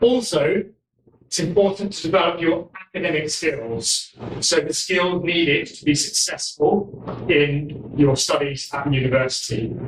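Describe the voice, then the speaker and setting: Speaking fairly slowly with a southern English accent, a man uses a high voice. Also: ordinary pitch variation, big swings in loudness. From London, England. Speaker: university college administrator. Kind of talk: speech.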